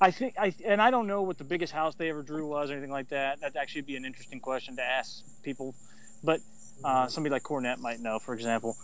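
Very fast speech in an American accent carries ordinary pitch variation. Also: man, fairly high pitch for a man. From US South, Chattanooga, Tennessee. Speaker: wrestling history podcaster. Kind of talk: casual chat.

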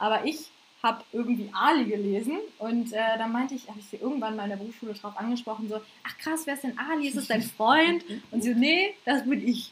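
With an unremarkable speaking voice, a woman talks at a fairly quick pace and a fairly high pitch, using ordinary pitch variation. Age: 20s. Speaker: podcast co-host and stand-up comedian. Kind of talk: casual chat.

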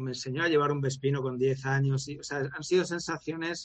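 At a moderate pace, a man talks at a medium pitch. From Valencia, Spain. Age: 40s. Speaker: former motorcycle racer and coach. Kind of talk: long-form interview.

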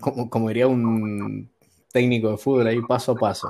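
Dark, mellow tone from a man at medium pitch, intonation fairly even. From Argentina, San Juan. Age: 20s. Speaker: student and worker. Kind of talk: casual chat. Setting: online call from work.

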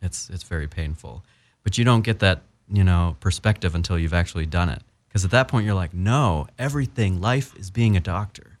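A man with an American accent speaks with a very deep, low pitch. The recording is very clean, with a silent background. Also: lively intonation. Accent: general American with slight Southern drawl. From US South (Appalachian Virginia). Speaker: doctor turned actor. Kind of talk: casual interview.

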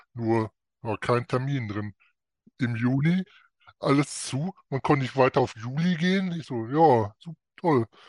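Over a quiet background, a man of medium pitch is heard in a dry, close sound with no echo. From North Rhine-Westphalia, Germany. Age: 50s. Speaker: coaching client. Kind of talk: interview.

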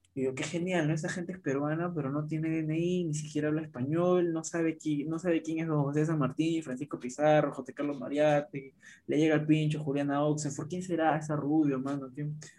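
Hardly pausing, a man speaks in a monotone, flat way with a dark, mellow tone and a fairly high pitch. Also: fairly quick pace. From Peru. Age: 20s. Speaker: podcast guest. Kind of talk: casual chat.

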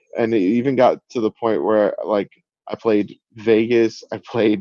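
A man with a fairly low pitch speaks at a fairly slow pace in a dark, mellow tone. His intonation is flat and monotone, and the sound is dry and close with no echo. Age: 30s. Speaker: music producer and DJ. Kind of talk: casual interview. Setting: video call. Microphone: sounds good despite Zoom.

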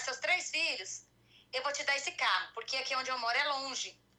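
A woman speaks in a high, raised and projected voice with a bright, sharp tone. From Goiânia, Brazil. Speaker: caller. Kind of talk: personal consultation. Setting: live stream video call.

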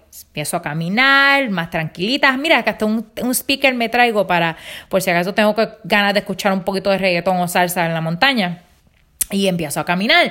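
A woman's bright, sharp, medium-pitched voice with lively intonation at a fairly quick pace, on a very clean recording with a silent background. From Puerto Rico, Rincón. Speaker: podcaster. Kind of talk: casual monologue, personal anecdotes.

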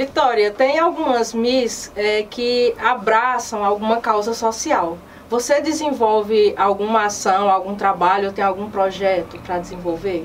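Against noticeable background noise, a woman speaks at a fairly high pitch and a fairly slow pace. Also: ordinary pitch variation, hardly any pauses. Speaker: web news program host. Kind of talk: news magazine presenting and interview.

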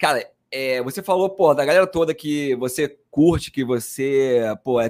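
A man with an ordinary speaking voice talks at a fairly high pitch with lively intonation, on a very clean recording with a silent background. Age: 30s. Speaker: podcast host, marketing executive. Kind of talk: casual interview chat.

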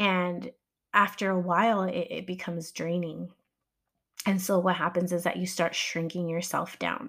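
Her pitch fairly low, a woman speaks with fairly even intonation. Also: moderate pace. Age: 40s. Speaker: podcast host. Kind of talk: casual monologue. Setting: home, early morning. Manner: casual, many fillers.

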